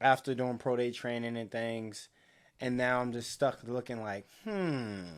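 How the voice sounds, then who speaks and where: In a very clean recording with a silent background, a man with an American accent has a plain, everyday voice, a medium pitch, fairly even intonation and a fairly slow pace. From Baltimore, Maryland. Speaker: podcast co-host. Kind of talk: casual chat.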